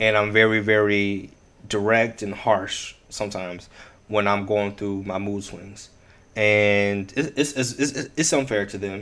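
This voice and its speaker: This man has an unremarkable speaking voice with a fairly low pitch. He talks at a fairly slow pace with fairly even intonation. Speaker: podcast host. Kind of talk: casual chat. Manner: playful, joking.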